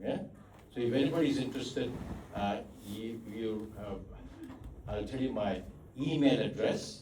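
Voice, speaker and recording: A man at medium pitch with lively intonation and a moderate pace, amid noticeable background noise and audible room echo. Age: old. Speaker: psychiatrist giving a talk. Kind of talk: talk with Q&A. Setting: church hall with audience. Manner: loud; halting, many fillers.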